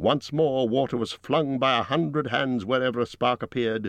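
A man speaks at a moderate pace with medium pitch in an ordinary speaking voice. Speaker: audiobook narrator. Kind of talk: dramatic audiobook narration of a dragon attack on a burning town.

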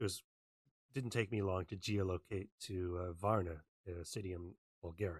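With a Canadian accent, a man speaks in a very deep, low pitch, somewhat breathy and fairly even in intonation, leaving long, frequent pauses in a dry, close sound with no echo. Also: moderate pace. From Western Canada. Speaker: open source researcher. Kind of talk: online talk.

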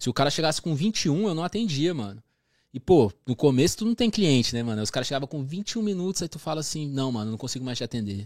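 Delivered in a Brasília accent at a very fast pace, the voice makes very wide pitch swings, with a dry, close sound with no echo and a very clean recording over a silent background. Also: man, fairly high pitch for a man. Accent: Brazilian Portuguese, Brasília. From Brasília, Brazil. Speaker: barber. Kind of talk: casual chat. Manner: slangy, relaxed.

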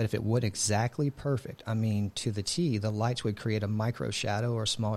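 In an American accent, a man speaks in a fairly low, somewhat breathy voice with very even loudness and ordinary pitch variation. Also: hardly any pauses. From Texas, Houston area. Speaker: cybersecurity sales director, Navy veteran. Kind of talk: interview.

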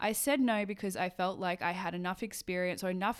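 In a very clean recording with a silent background, a woman with an Australian accent speaks at a fairly low pitch with fairly even intonation. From Australia, Sydney. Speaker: photographer and podcast host. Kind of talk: solo monologue, casual podcast. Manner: casual, chatty.

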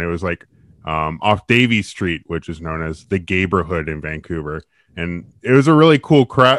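The speaker is a man with a Western Canadian accent. He talks with lively intonation. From Victoria, British Columbia, Canada. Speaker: podcast co-host. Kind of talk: casual chat.

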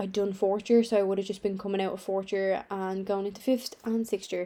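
A woman with a Dublin accent, a dark, mellow tone and monotone, flat intonation. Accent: Dublin Irish. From Ireland, Dublin. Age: 20s. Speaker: online fitness coach and podcaster. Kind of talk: casual chat. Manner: conversational.

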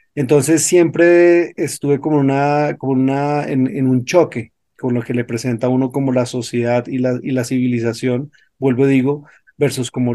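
This man's voice has a dark, mellow tone, medium pitch and fairly even intonation. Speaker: yoga and meditation teacher. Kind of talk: interview.

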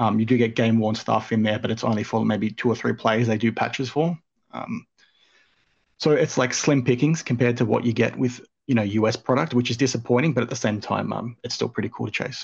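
Against a quiet background, a man with an Australian accent speaks at a fairly quick pace and medium pitch, with vocal fry and fairly even intonation. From Australia, southwest Sydney. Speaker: sports card collector and content creator. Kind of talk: casual chat.

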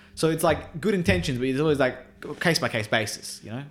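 Speaking at a fairly quick pace with ordinary pitch variation, a man talks in an Australian accent. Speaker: podcast co-host. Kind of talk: casual chat.

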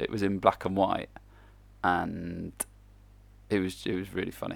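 This man speaks in an English accent. His recording is very clean, with nothing heard in the background. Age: 30s. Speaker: football coach. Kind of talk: casual monologue. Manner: casual.

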